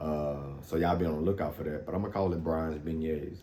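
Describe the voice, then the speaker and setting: Monotone, flat intonation in a slight Louisiana accent at a fairly quick pace, with audible room echo. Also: man. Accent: Louisiana Southern accent, slight. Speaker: fitness vlogger. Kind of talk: casual vlog talk. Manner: casual, frequent fillers.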